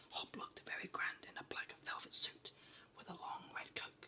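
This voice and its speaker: Someone whispers at a moderate pace. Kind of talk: whispered ASMR storytime book reading. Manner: whispered, soft, relaxing.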